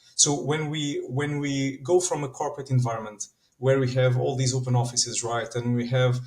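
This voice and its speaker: This man speaks in a Portuguese accent. His pace is moderate. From Portugal. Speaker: standards organization manager. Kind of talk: podcast interview. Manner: animated.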